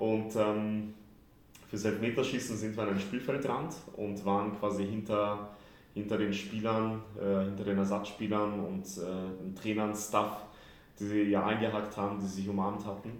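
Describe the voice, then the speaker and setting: A man's fairly low voice, monotone and flat, at a fairly slow pace, with audible room echo and noticeable background noise. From Austria, Vienna. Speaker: football club press officer. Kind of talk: interview. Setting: large room at training camp. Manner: relaxed.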